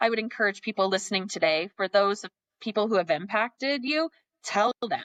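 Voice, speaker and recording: This woman's pitch sits in the medium range with ordinary variation. The sound is dry and close, with no echo. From Montana. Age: 40s. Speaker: philanthropist. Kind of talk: podcast interview. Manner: fast.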